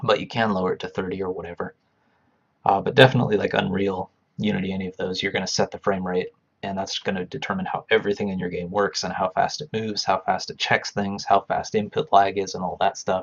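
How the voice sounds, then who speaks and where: A man speaks at a very fast pace. His fairly low pitch holds a fairly even intonation. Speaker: game developer streaming live. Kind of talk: live coding stream commentary. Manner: halting, thinking aloud.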